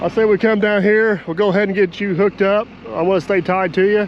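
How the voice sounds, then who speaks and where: A man with a high pitch talks at a moderate pace in fairly even intonation. Noticeable background noise sits behind him. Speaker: excavator operator. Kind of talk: casual chat.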